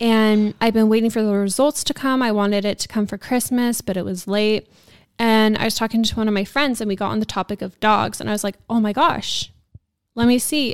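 Over a very clean recording with a silent background, a woman with a plain, everyday voice talks at a fairly quick pace, her fairly high pitch kept to fairly even intonation. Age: 20s. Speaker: esthetician and podcast host. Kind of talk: casual chat.

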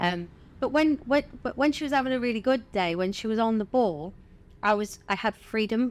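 Speaking at a fairly quick pace with a Southern English accent, a woman comes through in a very clean recording with a silent background. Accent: southern English, sounds posh. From Bournemouth, southern England. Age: 40s. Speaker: stand-up comedian. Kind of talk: casual interview chat, storytelling.

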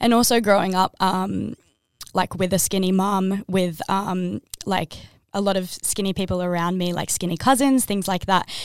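Australian-accented speech from a woman, fairly even in intonation. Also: medium pitch for a woman, moderate pace, very clean recording, silent background. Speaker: podcast co-host. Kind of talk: casual chat.

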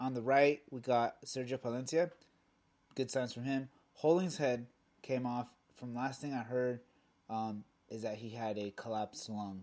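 A man's medium-pitched voice with a Spanish accent, broken by long, frequent pauses. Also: moderate pace. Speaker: soccer podcast co-host. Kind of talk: casual chat.

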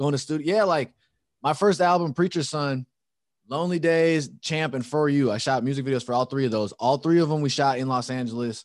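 With an American accent, this is a plain, everyday voice at a fairly quick pace, showing ordinary pitch variation over a quiet background. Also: man, fairly high pitch for a man. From Chicago. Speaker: musician and podcaster. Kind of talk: casual chat. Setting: video call.

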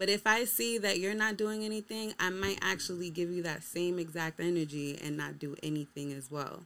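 In a very clean recording with a silent background, a woman with a normal speaking voice talks at a fairly quick pace in a fairly low pitch, with ordinary pitch variation. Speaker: podcast guest. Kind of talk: casual chat.

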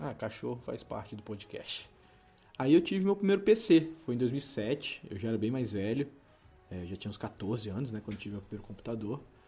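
A man of medium pitch at a moderate pace, very wide pitch swings and big swings in loudness, music in the background. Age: 20s. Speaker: podcast co-host. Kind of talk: casual chat.

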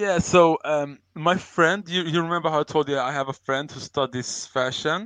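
This man has a fairly high pitch and a Swedish accent, with ordinary pitch variation. The sound is dry and close with no echo. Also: moderate pace. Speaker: crypto project advisor. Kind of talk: casual chat. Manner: halting.

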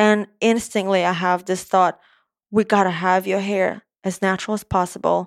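A woman with an Eastern European accent speaks in a flat monotone at a moderate pace. The recording is very clean, with a silent background and a dry, close sound with no echo. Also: medium pitch for a woman. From Moldova. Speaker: hairstylist and salon owner. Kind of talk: casual interview chat.

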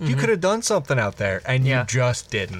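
Noticeable background noise surrounds a man who has an American accent. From Illinois. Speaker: podcast co-host. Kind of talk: improvised comedic storytelling; casual chat.

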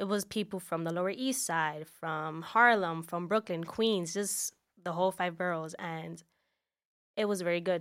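In a very clean recording with a silent background, a woman with a fairly low pitch talks at a moderate pace. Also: ordinary pitch variation. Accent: New York. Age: 20s. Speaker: podcast guest. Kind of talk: casual chat.

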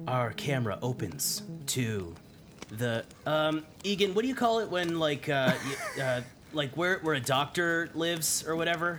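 A man's fairly high voice at a fairly slow pace, animated in tone with lively intonation, over noticeable background noise. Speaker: tabletop game master and actor voicing characters. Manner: animated, casual, profane, comedic with laughter.

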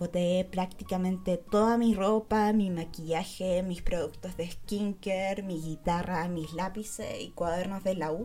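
The voice has a dark, mellow tone and moves at a fairly slow pace with hardly any pauses. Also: woman, medium pitch for a woman. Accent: Chilean. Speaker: podcaster. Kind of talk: casual chat.

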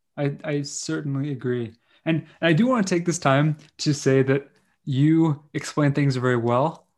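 A man speaks in an unremarkable speaking voice. His pitch is medium, with ordinary pitch variation. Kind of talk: casual interview conversation. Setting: video call.

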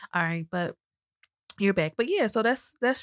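A woman talks at a fairly quick pace in a plain, everyday voice, her pitch medium. The recording is very clean with a silent background and a dry, close sound with no echo. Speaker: podcast host and financial services business owner. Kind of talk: casual chat.

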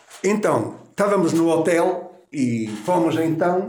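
A man's high voice with lively intonation, audible room echo and noticeable background noise. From Portugal, Canas de Senhorim (Viseu district). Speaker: tailor. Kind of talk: oral history interview.

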